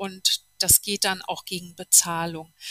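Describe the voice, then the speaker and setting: A woman speaks at a fairly slow pace in a bright, sharp tone. The sound is dry and close, with no echo. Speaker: TV journalist and podcaster. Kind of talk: interview.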